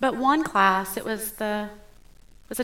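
Bright and sharp in tone, a woman's fairly high voice carries audible room echo. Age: 40s. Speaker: pastor. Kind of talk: sermon.

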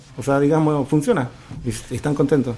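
Background noise is noticeable here. A man talks in a medium pitch. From Argentina, Tierra del Fuego. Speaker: business founder. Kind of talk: radio interview.

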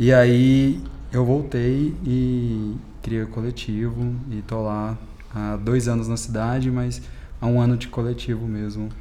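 A man at a very slow pace, with audible room echo. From Minas Gerais, Brazil (Uberlândia). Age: 20s. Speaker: DJ. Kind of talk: casual interview.

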